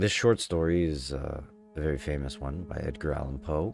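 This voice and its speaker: Music plays behind a man whose pitch is very deep and low, with ordinary variation. He talks at a fairly slow pace. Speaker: gaming streamer. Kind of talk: casual talk on live stream.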